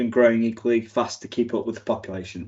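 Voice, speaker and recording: A man is speaking at a medium pitch. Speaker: tech company presenter. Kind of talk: conference talk. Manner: fast; halting, many fillers and restarts.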